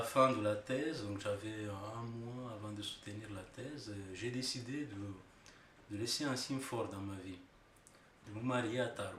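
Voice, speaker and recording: A man with a Romanian accent at a fairly slow pace and fairly low pitch, with audible room echo and noticeable background noise. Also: fairly even intonation. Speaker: engineer and researcher, immigrant. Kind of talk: interview testimony. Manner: hesitant, many fillers.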